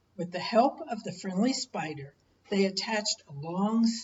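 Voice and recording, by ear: Read aloud in a natural voice, this clip has ordinary pitch variation.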